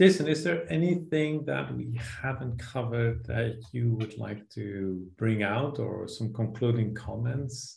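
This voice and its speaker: Somewhat breathy, a man talks at a fairly slow pace and medium pitch. His tone is dark and mellow, with ordinary pitch variation. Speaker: podcast host. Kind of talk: interview conversation.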